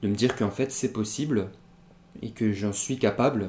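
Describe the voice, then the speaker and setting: At a fairly slow pace, a man talks with fairly even intonation and a fairly low pitch. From Pyrénées-Orientales, southern France. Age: 20s. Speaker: rapper. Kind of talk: interview. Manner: halting, many fillers and repetitions.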